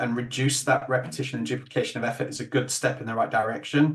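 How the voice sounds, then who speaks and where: Man with a Yorkshire accent, medium pitch, a somewhat breathy voice, fairly even intonation and a fairly quick pace. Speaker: webinar host. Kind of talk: webinar closing remarks.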